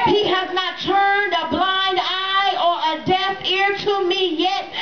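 Loud background noise sits behind a woman's voice. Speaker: church member performing a spoken word poem. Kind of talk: spoken word poem delivered at a church revival. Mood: triumphant, praising. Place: tent. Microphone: pa.

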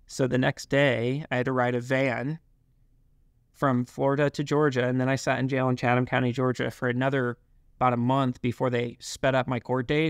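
This man has an American accent and a medium pitch, talking at a fairly quick pace in a monotone, flat way. The sound is dry and close with no echo, the loudness very even, and the background quiet. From US South. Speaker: company founder. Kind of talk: casual interview.

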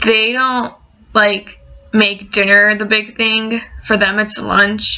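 A woman talks at a fairly slow pace in a monotone, flat intonation. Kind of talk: casual vlog chat. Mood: relaxed, amused. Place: home room. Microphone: webcam.

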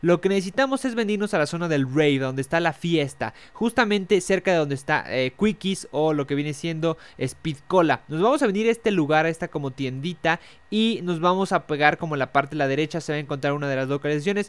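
Speaking fairly quickly with hardly any pauses, a man with a Mexican accent uses lively intonation and a fairly high pitch. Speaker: gaming youtuber. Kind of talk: tutorial.

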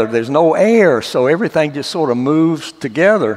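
A man speaks with lively intonation in a Southern US accent. The background is quiet. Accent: Southern drawl. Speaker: former astronaut. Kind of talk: church testimony talk.

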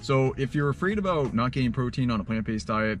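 A man talks in a dry sound with no echo. Faint music plays in the background. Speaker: food vlogger. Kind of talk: casual vlog chat. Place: car. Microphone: phone near.

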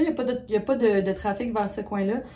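Somewhat breathy speech in a Quebec accent comes through over light background noise. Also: woman. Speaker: vlogger. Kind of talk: casual vlog talk to camera. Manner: animated. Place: bathroom. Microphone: phone near.

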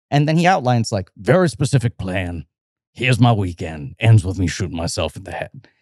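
A man speaks at a fairly quick pace with a fairly low pitch, on a very clean recording with a silent background. His pitch swings very widely, and his loudness rises and falls sharply. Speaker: film podcast host. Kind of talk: casual chat.

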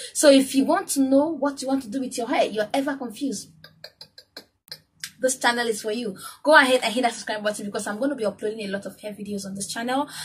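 Against light background noise, a woman talks at a very fast pace and high pitch. Her pitch variation is ordinary, with big swings in loudness. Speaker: hair care vlogger. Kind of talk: tutorial. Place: home room. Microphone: phone near.

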